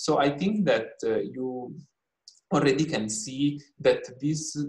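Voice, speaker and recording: A man speaks at a fairly slow pace. He has an Italian accent. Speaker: researcher presenting on the care economy. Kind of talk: lecture. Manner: halting, many fillers.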